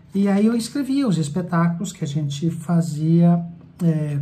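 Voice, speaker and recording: The tone is dark and mellow. Audible room echo surrounds the voice. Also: man. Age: 60s. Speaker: theatre director. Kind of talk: personal life story monologue.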